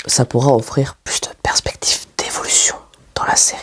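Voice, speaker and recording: A soft-spoken man is whispering. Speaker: ASMR creator and web-series maker. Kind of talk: casual talk to camera in whisper/soft-spoken ASMR style. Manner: whispered, soft-spoken.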